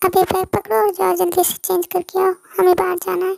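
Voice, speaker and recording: A woman's put-on character voice, extremely high-pitched and fairly quick. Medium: read story. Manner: warm, self-assured.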